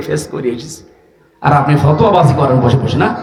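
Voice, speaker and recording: A man speaks in a dramatic tone with a fairly high pitch. Noticeable background noise runs underneath. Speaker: Islamic preacher and lecturer. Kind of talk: Islamic sermon (waz) to a large crowd. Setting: outdoor mahfil with PA system. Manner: emotional, dramatic storytelling.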